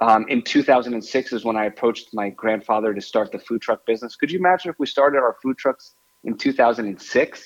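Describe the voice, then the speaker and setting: A man with an American accent talks at a medium pitch in an ordinary speaking voice. He moves at a fairly quick pace with hardly any pauses. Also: ordinary pitch variation, dry, close sound with no echo. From New York, Westchester area. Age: 40s. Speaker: restaurant owner. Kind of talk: interview.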